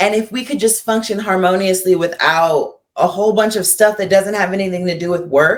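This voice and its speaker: A plain, everyday voice at a fairly quick pace, with fairly even intonation and hardly any pauses. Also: woman, medium pitch for a woman. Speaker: costumer and comedian. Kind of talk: interview conversation.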